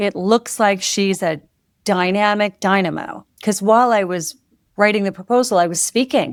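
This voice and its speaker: A woman's medium-pitched voice, an ordinary speaking voice, with fairly even intonation at a moderate pace. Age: 60s. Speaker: author and former music publishing executive. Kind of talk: podcast interview.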